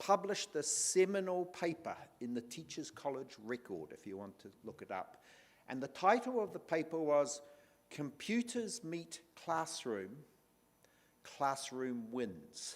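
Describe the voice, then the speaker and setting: Speaking at a fairly slow pace in a New Zealand accent, a man with a fairly high pitch makes very wide pitch swings and big swings in loudness. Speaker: panel moderator. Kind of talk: panel moderation.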